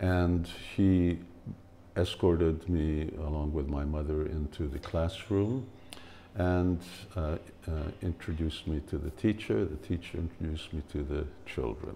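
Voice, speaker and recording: A man with a very deep, low voice and a dark, mellow tone. He talks at a fairly slow pace and sounds somewhat breathy. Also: ordinary pitch variation. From Hungary, then Canada from age seven. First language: Hungarian. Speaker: spiritual teacher. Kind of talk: personal storytelling talk. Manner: hesitant, many fillers.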